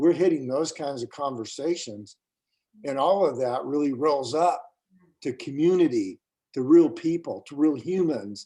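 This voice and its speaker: A man with an American accent has a dark, mellow tone and fairly high pitch. His loudness swings widely. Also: ordinary pitch variation, moderate pace. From US. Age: 60s. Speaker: school board member and leadership coach. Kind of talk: interview conversation.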